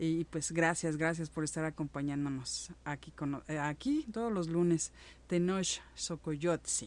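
A woman's fairly low voice carries ordinary variation in pitch. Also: fairly slow pace. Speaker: radio host. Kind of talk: live radio show hosting. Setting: live internet radio studio. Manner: halting, many fillers.

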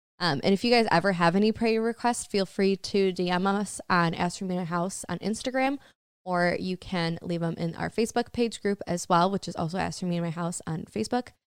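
Speaking at a fairly quick pace with hardly any pauses, a woman with a Michigan accent uses a medium pitch and ordinary pitch variation. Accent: Michigan (Upper Midwest) American. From US Midwest. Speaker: podcast co-host. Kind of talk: casual chat. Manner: animated.

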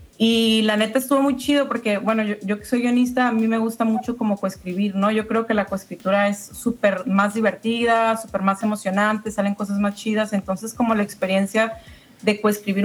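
A woman has a plain, everyday voice at a fairly high pitch. She keeps a moderate pace with fairly even intonation and hardly any pauses. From La Paz, Baja California Sur, Mexico. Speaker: screenwriter and filmmaker. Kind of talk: casual interview chat.

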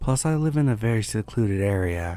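A man speaks with a fairly low pitch and a dark, mellow tone. His intonation is lively. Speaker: scary story narrator. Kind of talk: scripted horror story narration, reading listener-submitted tales, for sleep.

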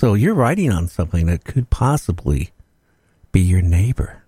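Lively intonation marks this man's speech. His voice is somewhat breathy. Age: 70s. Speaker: radio host. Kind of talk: casual chat.

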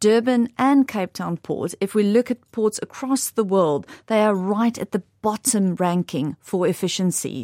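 A woman with a South African accent speaks fairly slowly at a medium pitch, with ordinary pitch variation and a dark, mellow tone. The recording is very clean with a silent background and a dry, close sound with no echo. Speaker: investment director. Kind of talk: interview answers. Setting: studio.

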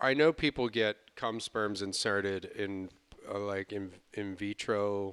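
This man has a fairly low voice and speaks at a fairly slow pace with ordinary pitch variation. The sound is dry and close, with no echo. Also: very clean recording, silent background. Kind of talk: morning-radio DJ patter, mock traffic report with a crude joke, sign-off. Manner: breezy, jokey and animated, with a playful drive-time DJ cadence and easy laughter.

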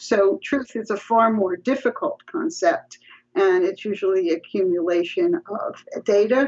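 With a New York accent, a woman speaks at a fairly slow pace and medium pitch, her voice making very wide pitch swings. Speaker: psychology professor. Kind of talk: interview.

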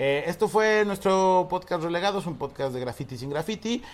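A man with an ordinary speaking voice talks at a fairly quick pace with lively intonation. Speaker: podcast host. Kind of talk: casual chat. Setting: on vacation at the beach.

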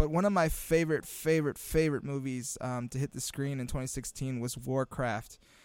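An unremarkable speaking voice with an American accent moves at a fairly quick pace with hardly any pauses and fairly even intonation. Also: man, fairly high pitch for a man. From Imperial Valley, Southern California. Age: 30s. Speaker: podcast co-host, student teacher. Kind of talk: casual chat. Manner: relaxed, filler-heavy.

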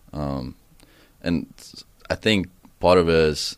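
Someone speaks with an Estonian accent on a very clean recording with a silent background. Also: man. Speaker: college soccer player. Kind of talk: casual interview. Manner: hesitant, thoughtful.

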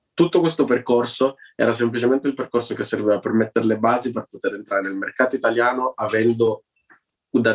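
Talking at a very fast pace, a man with a medium pitch comes across in a dry, close sound with no echo. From Turin, northern Italy. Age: 20s. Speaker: actor and activist. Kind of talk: interview. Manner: halting.

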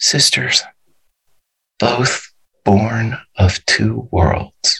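A man puts on a breathy character voice at a medium pitch. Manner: breathy, fading.

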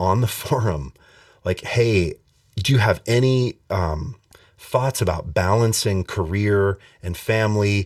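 In an unremarkable speaking voice, a man with an American accent talks at a fairly slow pace, his pitch fairly low with ordinary variation. The recording is very clean, with a silent background. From Montana. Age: 40s. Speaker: bass player and music instructor. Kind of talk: casual interview.

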